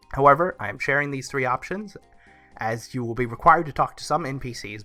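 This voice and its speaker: A man talking fairly quickly with ordinary pitch variation, music in the background. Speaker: gaming YouTuber. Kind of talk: game review talk.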